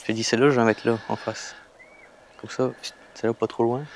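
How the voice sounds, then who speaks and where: Amid noticeable background noise, a man at medium pitch talks at a very fast pace with monotone, flat intonation. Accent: northern French. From northern France. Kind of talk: casual, informal speech. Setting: outdoors, fishing.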